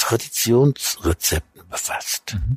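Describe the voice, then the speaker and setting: A somewhat breathy man speaks with lively intonation in a dry, close sound with no echo. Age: 70s. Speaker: food critic and cookbook author. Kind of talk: interview. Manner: halting.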